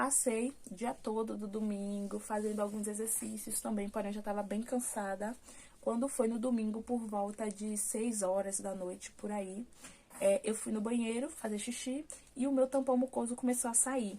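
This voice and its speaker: At a moderate pace, a woman with a fairly high pitch and fairly even intonation speaks in a plain, everyday voice. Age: 20s. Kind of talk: casual talk to camera, personal birth story.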